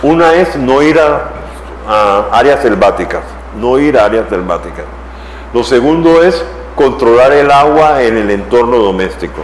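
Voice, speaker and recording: Medium pitch from a man, fairly slow with long, frequent pauses and lively intonation, over noticeable background noise and audible room echo. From Panama. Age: 70s. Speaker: professor. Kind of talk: lecture.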